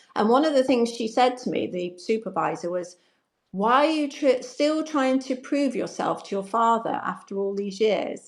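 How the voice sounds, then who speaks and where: In an ordinary speaking voice, a woman talks at a moderate pace with lively intonation and a fairly high pitch. The recording is very clean, with a silent background. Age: 60s. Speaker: confidence coach. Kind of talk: interview answer.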